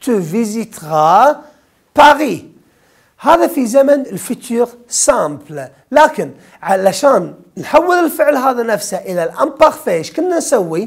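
Over a quiet background, a man with an extremely high pitch speaks at a very slow pace, his pitch swinging very widely. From Kuwait. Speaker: French teacher. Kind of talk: exam review lesson. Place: studio. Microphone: lapel.

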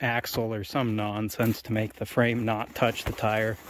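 There is light background noise behind a man recorded with dry sound and no echo. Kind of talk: casual walkthrough commentary. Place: open country. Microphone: phone near.

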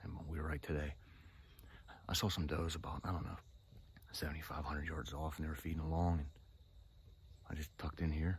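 A man with a very deep, low pitch and vocal fry speaks in a monotone, flat intonation with a dry sound and no echo. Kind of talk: casual vlog chat. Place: forest. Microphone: phone near.

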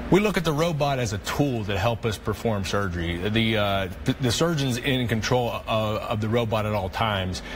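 A man with an American accent talks at medium pitch and a moderate pace, with audible room echo and noticeable background noise. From US, West Virginia northern panhandle. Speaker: orthopedic surgeon. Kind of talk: interview. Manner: hesitant, many fillers.

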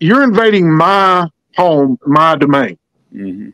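A man speaks with lively intonation in a dry sound with no echo. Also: quiet background. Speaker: guest. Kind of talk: interview answer. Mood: firm, defiant. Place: home room. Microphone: video call.

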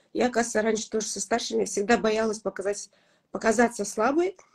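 A somewhat breathy woman's voice with ordinary pitch variation. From Kazakhstan. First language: Kazakh (speaking Russian). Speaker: blogger and mother; blogger. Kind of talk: interview. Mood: warm, reflective. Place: home room. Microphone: video call.

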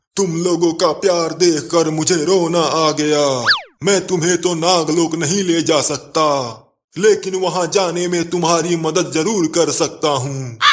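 A man puts on a gruff character voice, pitched high. He speaks at a fairly slow pace. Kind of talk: comic cartoon dubbing. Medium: cartoon. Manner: gruff, insulting, ominous.

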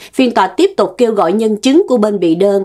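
A woman's medium-pitched voice, dark and mellow in tone, with lively intonation at a moderate pace. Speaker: news show co-host. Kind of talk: news reading. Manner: formal.

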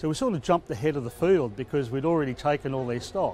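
A man talks very fast in a dark, mellow tone. The sound is dry with no echo, over light background noise. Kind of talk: interview answer. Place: open country.

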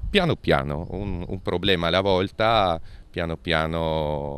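Here a man speaks with a very deep, low pitch at a moderate pace. The recording is dry, with no echo. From Friuli-Venezia Giulia, Monfalcone area; Friuli-Venezia Giulia. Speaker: politician. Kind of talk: interview. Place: street. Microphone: handheld.

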